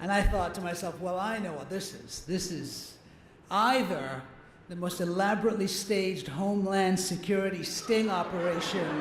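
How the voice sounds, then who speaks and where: A man speaks at a moderate pace in a high pitch, his intonation fairly even while his loudness swings widely. Background noise is noticeable. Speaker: actor and comedian. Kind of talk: comedic award acceptance speech. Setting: live event with audience.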